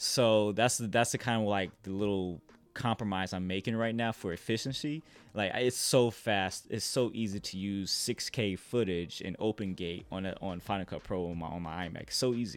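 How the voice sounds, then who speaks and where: This man talks in a Midwestern US accent at a moderate pace, his pitch fairly low. The recording is very clean, with a silent background. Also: ordinary pitch variation. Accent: US Midwest. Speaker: filmmaker. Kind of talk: casual interview chat.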